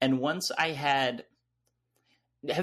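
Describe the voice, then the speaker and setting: Speaking with an American accent, a man talks at a medium pitch. His pace is fairly slow. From US South, North Carolina. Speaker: video essayist. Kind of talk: casual interview chat. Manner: frequent laughter, hesitant fillers.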